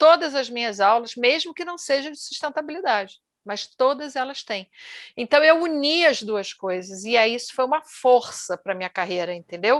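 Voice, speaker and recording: A woman's high voice shows very wide pitch swings and big swings in loudness. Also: moderate pace. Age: 60s. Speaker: executive and MBA lecturer. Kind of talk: casual interview conversation.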